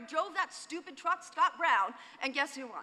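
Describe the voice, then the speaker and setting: An extremely high-pitched, raised and projected woman's voice with an American accent and ordinary pitch variation. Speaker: executive director of a creative agency, conference speaker. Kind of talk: conference talk. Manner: fast; animated.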